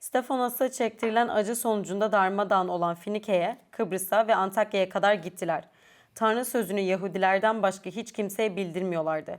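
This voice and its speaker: Heard on a very clean recording against a silent background, a plain, everyday voice moves at a fairly quick pace with fairly even intonation. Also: woman, medium pitch for a woman. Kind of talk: panel discussion.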